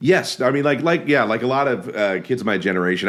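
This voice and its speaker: A man speaks very fast, his pitch swinging very widely. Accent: American. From Alaska. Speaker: filmmaker and actor. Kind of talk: casual chat. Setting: podcast interview. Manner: halting, many fillers.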